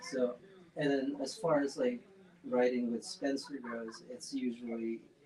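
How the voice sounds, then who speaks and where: A man talks at a fairly slow pace with ordinary pitch variation. Noticeable background noise runs behind him. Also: medium pitch for a man. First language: not English. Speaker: punk band musician. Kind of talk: casual interview chat.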